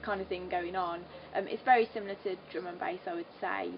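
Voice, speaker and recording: A woman with a Birmingham accent speaks at a fairly quick pace, at a medium pitch with fairly even intonation, over noticeable background noise. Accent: Birmingham (Brummie). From English Midlands, Solihull near Birmingham. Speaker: singer. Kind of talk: interview. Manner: hesitant, many fillers.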